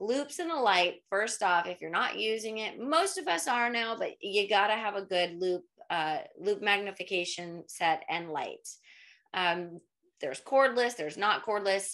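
A woman speaks with lively intonation and a bright, sharp tone. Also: moderate pace, quiet background. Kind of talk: interview answer. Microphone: webcam.

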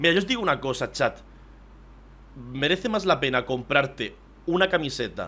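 With lively intonation, a man speaks in a bright, sharp, animated tone. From southeastern Spain, Murcia and Almería; southeastern Spain. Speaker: streamer. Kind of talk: live stream reaction commentary. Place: home room.

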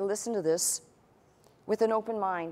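Her pace is moderate. The woman keeps her intonation fairly even. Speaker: pastor. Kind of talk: sermon. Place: church. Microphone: lapel.

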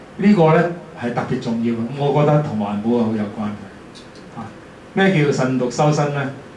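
There are long, frequent pauses as a man speaks at a moderate pace with lively intonation, light background noise and audible room echo. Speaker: environmental volunteer and speaker; teacher giving a talk. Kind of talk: lecture. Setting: lecture hall with audience. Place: meeting room.

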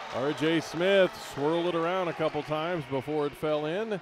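A man's fairly high, animated voice at a fairly slow pace, dry with no echo, over noticeable background noise. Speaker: play-by-play announcer. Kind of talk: live sports commentary, play-by-play of college basketball highlights. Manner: animated, punchy calls on made threes and dunks. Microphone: headset.

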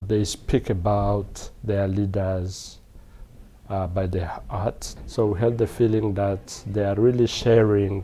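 A man's fairly low voice at a very slow pace, with fairly even intonation. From Eastern DR Congo. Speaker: peacebuilding NGO director. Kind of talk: interview testimony. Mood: earnest, reflective. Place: hall. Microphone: lapel.

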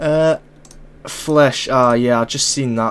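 Speaking slowly, a man has a medium pitch, a clear, smooth, fairly bright tone, and ordinary pitch variation.

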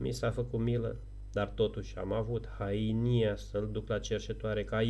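Natural reading voice

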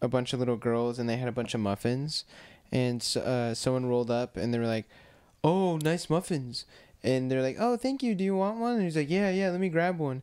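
Lively intonation from a man at a fairly quick pace, loudness very even, over a quiet background. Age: 20s. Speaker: podcast co-host. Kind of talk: casual chat. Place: home room. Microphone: studio mic.

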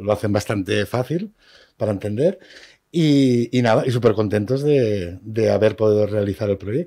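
Against a quiet background, a man talks at a moderate pace with a fairly low pitch and a dark, mellow tone. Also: ordinary pitch variation. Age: 30s. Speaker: vocational student; guest. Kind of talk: radio interview. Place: studio. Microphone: studio mic.

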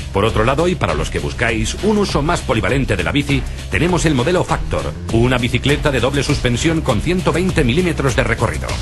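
Clear music plays in the background as the speech runs at a very fast pace. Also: man. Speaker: professional voice actor and radio announcer. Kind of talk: product presentation voice-over. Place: booth. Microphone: studio mic.

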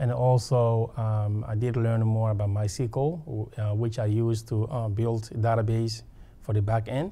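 Somewhat breathy, a man speaks in a dark, mellow tone at a fairly slow pace. His loudness stays very even and his intonation fairly even. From West Africa. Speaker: graduate student alumnus. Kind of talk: testimonial interview. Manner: halting, many fillers. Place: meeting room. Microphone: lapel.

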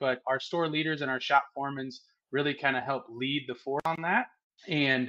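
A man speaks in a bright, sharp tone. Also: quiet background. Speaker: guest. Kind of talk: interview answer. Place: home room. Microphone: earbuds.

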